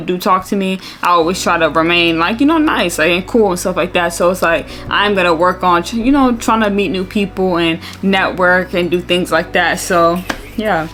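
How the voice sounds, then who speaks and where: With music in the background, a woman speaks fairly quickly at a fairly low pitch and with fairly even intonation. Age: 20s. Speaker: YouTuber. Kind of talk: casual vlog talk to camera. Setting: at home. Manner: casual, filler-heavy.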